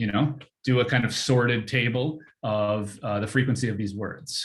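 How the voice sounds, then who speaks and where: The voice is somewhat breathy with fairly even intonation. It moves at a moderate pace. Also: man. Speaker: workshop presenter teaching text mining. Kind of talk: tutorial.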